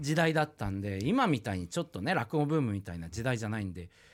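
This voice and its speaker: The background is silent and the recording very clean. A man speaks with very wide swings in pitch. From Japan, rural Iwate (Oshu). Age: 40s. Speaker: rakugo storyteller. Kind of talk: casual interview.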